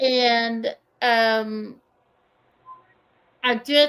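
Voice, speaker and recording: A woman's fairly high-pitched voice with a strong Kentucky accent. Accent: thick Kentucky. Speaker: diamond painting YouTuber. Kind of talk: casual chat.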